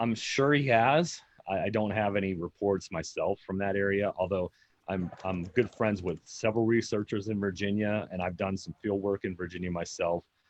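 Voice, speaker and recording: A man with an American accent, at a moderate pace, with fairly even intonation. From Pennsylvania, US. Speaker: Bigfoot researcher. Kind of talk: interview answers on live stream. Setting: Facebook live video stream.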